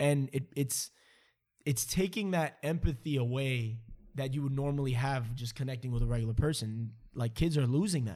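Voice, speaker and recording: This man's voice sits at a medium pitch with ordinary pitch variation, a dark, mellow tone and a somewhat breathy quality. He keeps a moderate pace on a very clean recording with a silent background. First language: not English. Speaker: podcast host. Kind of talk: casual conversation.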